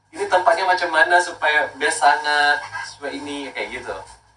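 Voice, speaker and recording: A man uses a raised, projected voice with lively intonation. He keeps a moderate pace. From Makassar, South Sulawesi, Indonesia. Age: 30s. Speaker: skincare brand owner. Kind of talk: casual talk promoting skincare.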